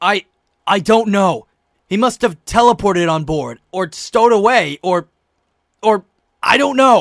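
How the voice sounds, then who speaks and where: A man puts on a gruff, raspy character voice at a high pitch, leaving long, frequent pauses. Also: moderate pace. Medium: fan dub. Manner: gruff, blunt, sarcastic.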